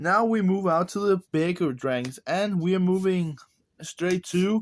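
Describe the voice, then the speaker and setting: Recorded very cleanly against a silent background, a man with a Danish accent talks at a fairly slow pace in a dry, close sound with no echo. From Denmark. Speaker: card game content creator. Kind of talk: deck profile tutorial.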